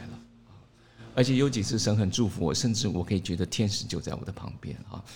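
Somewhat breathy, a man speaks at a fairly low pitch with ordinary pitch variation. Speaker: pastor. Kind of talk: interview. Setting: studio.

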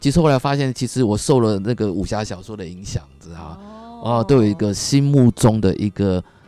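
Talking at a fairly quick pace in a normal speaking voice, a man with fairly low pitch uses lively intonation and big swings in loudness. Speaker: businessman, husband. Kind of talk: casual interview chat.

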